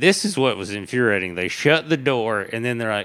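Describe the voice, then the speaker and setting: Bright and sharp in tone, a man with a Tennessee accent talks with lively intonation. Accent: Southern US (Tennessee). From East Tennessee. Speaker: stand-up comedian. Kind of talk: casual chat.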